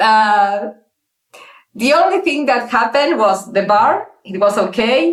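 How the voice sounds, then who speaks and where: With audible room echo, a woman speaks at a fairly slow pace in a fairly high pitch with lively intonation. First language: not English. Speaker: interview guest telling her dating story. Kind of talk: casual interview. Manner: halting, many fillers and restarts.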